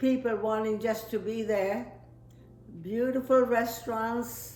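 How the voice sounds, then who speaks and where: In a room with audible echo, a woman speaks at a very slow pace with long, frequent pauses. Her pitch is fairly high and her intonation fairly even. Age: 80s+. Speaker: family elder interviewed about her life. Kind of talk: oral history interview. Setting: home interview set by the fire.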